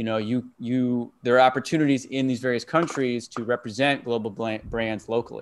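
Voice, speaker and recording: A man at a medium pitch with an unremarkable speaking voice, a moderate pace, hardly any pauses and fairly even intonation. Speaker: career coach. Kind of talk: interview questions.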